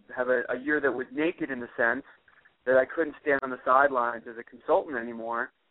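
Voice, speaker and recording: A man with an ordinary speaking voice talks at a fairly quick pace in a medium pitch, keeping his intonation fairly even. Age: 40s. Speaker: author and public speaker. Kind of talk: podcast interview.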